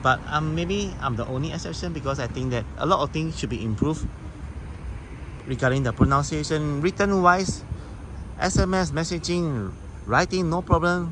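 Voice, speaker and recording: With a Singaporean accent, a man speaks at a moderate pace in a fairly high pitch, leaving long, frequent pauses. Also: lively intonation. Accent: Singaporean English (Singlish). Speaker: travel vlogger. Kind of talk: casual vlog talk to camera.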